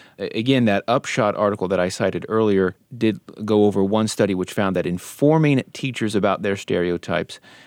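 A man with a normal speaking voice talks at a fairly quick pace and a fairly low pitch, recorded very cleanly against a silent background with a dry, close sound and no echo. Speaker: radio host and journalist. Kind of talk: podcast hosting, moderating a panel discussion. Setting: radio studio.

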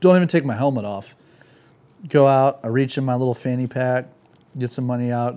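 Speaking with an American accent, a man uses a medium pitch at a fairly quick pace. His pauses are long and frequent. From Santa Cruz area, California. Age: 30s. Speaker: skateboarder and motorcycle rider. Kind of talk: casual chat. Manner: animated.

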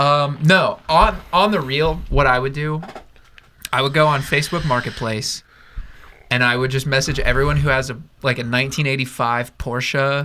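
Here is a normal speaking voice from a man, pitched fairly high. He talks at a fairly slow pace with fairly even intonation. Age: 20s. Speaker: podcast co-host. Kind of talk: casual chat.

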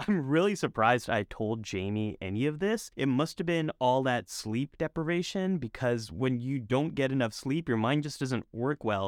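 A man speaks at a moderate pace in a plain, everyday voice, medium in pitch, with hardly any pauses, on a very clean recording with a silent background. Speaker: psychologist and video creator. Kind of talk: scripted explainer with interview clips.

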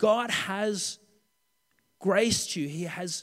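A man with an Australian accent speaks at a high pitch with ordinary pitch variation. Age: 30s. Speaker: pastor. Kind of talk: sermon. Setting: church.

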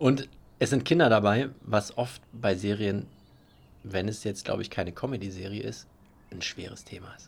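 Pausing long and often, a somewhat breathy man with fairly low pitch talks at a moderate pace. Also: ordinary pitch variation. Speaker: podcast co-host. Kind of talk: casual chat. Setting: outdoors on a terrace.

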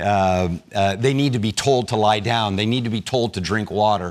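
A man in a plain, everyday voice, at a moderate pace with ordinary pitch variation. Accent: American. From United States. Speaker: pastor. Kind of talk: sermon.

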